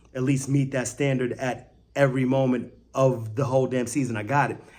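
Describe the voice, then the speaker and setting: With an American accent, a man talks in an animated tone over audible room echo. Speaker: sports fan video creator. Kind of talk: casual post-game reaction vlog. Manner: loud.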